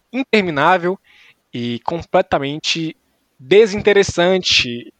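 A plain, everyday voice speaks at a fairly slow pace with lively intonation, in a dry, close sound with no echo. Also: man. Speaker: sports podcast host. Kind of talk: casual comedic sports chat.

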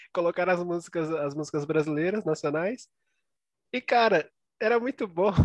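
Long, frequent pauses break up a man's high-pitched speech at a moderate pace. The sound is dry and close with no echo, and his pitch variation is ordinary. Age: 20s. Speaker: podcast co-host. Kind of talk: casual chat.

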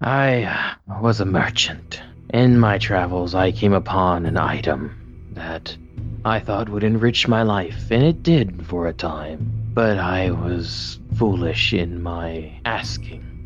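A man's very deep, low pitch with very wide pitch swings at a fairly slow pace, clear music in the background. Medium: actual play. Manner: weary, resigned, apologetic.

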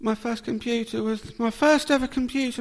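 A man speaks at a moderate pace with a southern English accent and fairly even intonation. His pitch is extremely high. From Portsmouth, southern England. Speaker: podcaster. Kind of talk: casual interview. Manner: halting.

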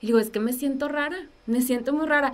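High-pitched for a woman, her voice rises and falls with ordinary pitch variation. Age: 20s. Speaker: illness survivor and communicator. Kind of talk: testimony. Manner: talkative.

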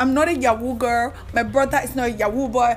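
A woman speaks at a moderate pace in an animated tone, with noticeable background noise behind her. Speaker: podcast host and activist. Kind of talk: solo podcast monologue. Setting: recording alone in her room.

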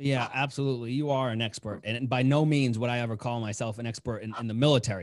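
A man speaks at a very fast pace and medium pitch, with hardly any pauses. The recording is very clean, with a silent background. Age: 20s. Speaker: army officer and life coach. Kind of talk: casual chat; motivational speech. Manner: animated.

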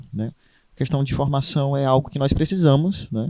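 Here is a man with a fairly high pitch and a dark, mellow tone. He keeps a moderate pace. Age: 20s. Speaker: teacher. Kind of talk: casual chat.

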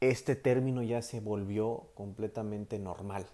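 A fairly slow pace with a Mexican accent. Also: man. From Mexico. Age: 20s. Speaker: psychologist and life coach. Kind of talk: solo podcast talk. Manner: halting with filler words.

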